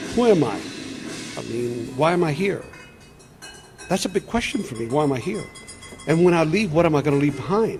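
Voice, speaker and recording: With music in the background, a man speaks at a moderate pace in a fairly high pitch, his intonation lively. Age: 60s. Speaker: sound artist. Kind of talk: interview. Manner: repetitive, hesitant.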